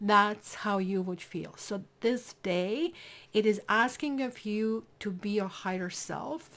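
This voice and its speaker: A woman with a non-native accent at a very slow pace. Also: medium pitch for a woman, ordinary pitch variation. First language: not English. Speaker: tarot reader. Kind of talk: tarot reading. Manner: casual, conversational.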